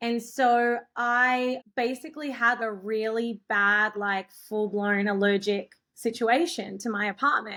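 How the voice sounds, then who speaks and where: A fairly high-pitched woman with an Australian accent, a bright, sharp tone and fairly even intonation, in a very clean recording with a silent background. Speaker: filmmaker. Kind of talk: interview answer. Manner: casual, chatty.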